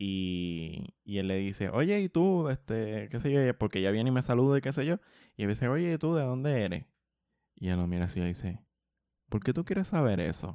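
A man's dark, mellow tone with very wide pitch swings, in a dry, close sound with no echo against a quiet background. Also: medium pitch for a man, moderate pace. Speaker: podcast co-host. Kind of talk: casual chat.

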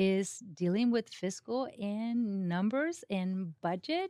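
A woman with a Mexican accent speaks at medium pitch with ordinary pitch variation, in a dry, close sound with no echo and a very clean recording with a silent background. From Mexico. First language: Spanish. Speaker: county government administrator. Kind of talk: interview. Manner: animated.

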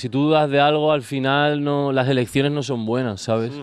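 A man speaks in a plain, everyday voice with a fairly high pitch. His pace is moderate and his intonation fairly even. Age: 30s. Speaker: music producer. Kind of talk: casual chat.

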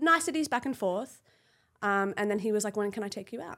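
On a very clean recording with a silent background, a woman uses lively intonation at a medium pitch and a moderate pace. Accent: Australian. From Australia. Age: 30s. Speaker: former fashion model. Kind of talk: casual chat.

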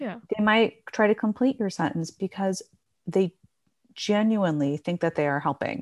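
With a plain, everyday voice, a woman speaks at a moderate pace and medium pitch, her intonation lively, in a dry, close, echo-free recording over a silent, very clean background. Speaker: speech-language pathologist. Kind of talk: casual interview chat.

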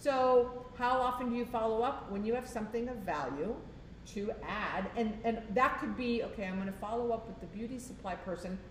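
With an American accent, a woman speaks at a fairly high pitch with ordinary pitch variation, amid audible room echo and noticeable background noise. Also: moderate pace. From South Florida. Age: 60s. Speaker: commercial real estate owner and trainer. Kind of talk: casual interview.

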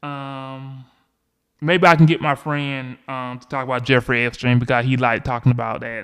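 A man with a Southern US accent speaks with fairly even intonation in a very clean recording with a silent background. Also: medium pitch for a man, moderate pace, big swings in loudness. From US South, Georgia. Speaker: podcast host. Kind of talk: solo podcast monologue about politics. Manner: halting, many fillers.

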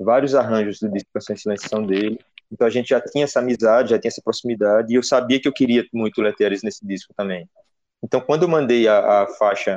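A man with a medium pitch speaks at a very fast pace, with ordinary pitch variation. The sound is dry and close, with no echo. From Pernambuco, Brazil (Petrolina). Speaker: singer-songwriter and pianist. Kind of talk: interview talk about his album. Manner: hesitant, many fillers.

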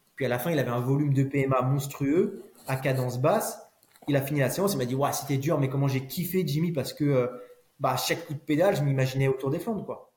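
Audible room echo surrounds a man's voice. His fairly high pitch shows ordinary variation. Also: fairly quick pace. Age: 30s. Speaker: former pro cyclist turned cycling coach. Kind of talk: casual interview chat.

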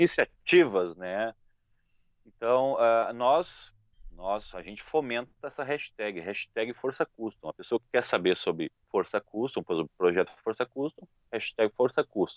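With an unremarkable speaking voice, a man talks at a fairly slow pace and medium pitch, his intonation lively and his loudness swinging widely. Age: 40s. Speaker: motorcycle YouTuber. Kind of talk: casual interview chat.

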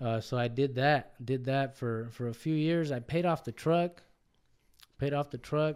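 This man has an American accent and a dark, mellow tone. His medium pitch shows ordinary pitch variation. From Los Angeles area, Compton, California. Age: 30s. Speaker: truck repair shop owner, former truck driver. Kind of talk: casual interview. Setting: studio.

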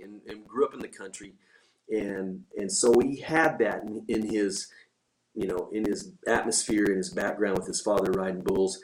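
This man has an unremarkable speaking voice with ordinary pitch variation. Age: 50s. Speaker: bull riding team coach, former pro bull rider. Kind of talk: casual interview. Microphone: audio issues.

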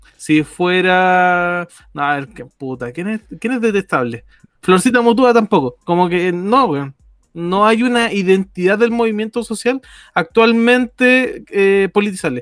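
A man with a high pitch speaks at a fairly slow pace with lively intonation, in a dry, close sound with no echo. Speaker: podcast co-host. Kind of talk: casual chat.

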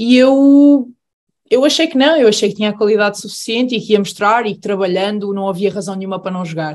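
This woman has an unremarkable speaking voice, pitched fairly high with ordinary variation. She talks at a fairly quick pace. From Aveiro, Portugal. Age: 20s. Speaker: professional handball player. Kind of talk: casual chat.

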